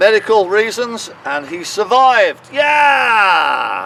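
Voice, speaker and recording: A man's intonation stays lively while noticeable background noise fills the recording. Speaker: town crier. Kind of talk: guided walking tour narration, storytelling. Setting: outdoors in a cemetery. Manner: dramatic, animated storytelling.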